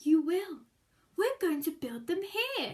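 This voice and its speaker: Using a put-on character voice, a woman talks at a fairly slow pace with an extremely high pitch and very wide pitch swings. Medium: read story.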